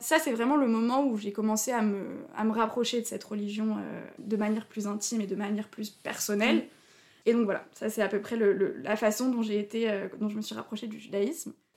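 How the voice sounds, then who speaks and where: Fairly high in pitch, a woman talks at a fairly quick pace with fairly even intonation. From Alsace, France (Haut-Rhin). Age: 20s. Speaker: convert to Judaism. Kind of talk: personal testimony interview. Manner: hesitant, many fillers.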